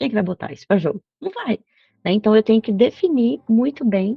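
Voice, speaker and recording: Her voice is somewhat breathy and fairly high-pitched, with an animated tone and lively intonation as this woman speaks. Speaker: agile trainer. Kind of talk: online workshop. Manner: fast.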